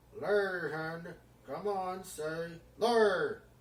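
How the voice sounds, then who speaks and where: A put-on character voice speaks at a middle pitch. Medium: read story. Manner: bellowing, domineering.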